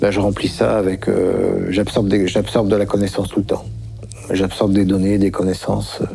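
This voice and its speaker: At a moderate pace, a man speaks while noticeable noise carries on in the background. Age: 60s. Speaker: witness of alien encounters. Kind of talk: documentary testimony. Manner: halting, many fillers.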